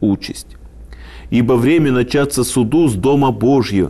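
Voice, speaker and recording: A man's dark, mellow voice at a fairly slow pace, with ordinary pitch variation. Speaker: lecturer on scripture. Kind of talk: lecture. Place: studio. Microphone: lapel.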